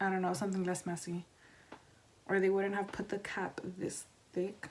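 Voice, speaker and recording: A soft-spoken woman at a medium pitch, with monotone, flat intonation. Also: moderate pace. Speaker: beauty vlogger. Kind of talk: tutorial.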